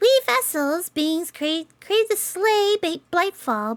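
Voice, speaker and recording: This is a put-on character voice, squeaky and extremely high in pitch. The pace is fairly slow. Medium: game stream. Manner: gentle, calm, emotionless.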